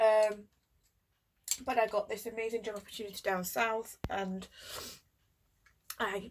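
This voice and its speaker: A woman's medium-pitched voice with flat, monotone intonation on a very clean recording with a silent background. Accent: Yorkshire. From Yorkshire, England. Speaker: mental health nurse. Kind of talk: casual talk to camera. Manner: hesitant, many fillers.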